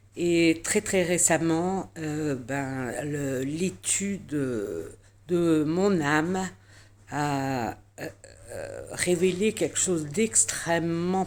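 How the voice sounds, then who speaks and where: Speaking very slowly, a woman uses a fairly low pitch with ordinary pitch variation. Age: 60s. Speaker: client giving a testimonial. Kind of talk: testimony. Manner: halting, many filler sounds.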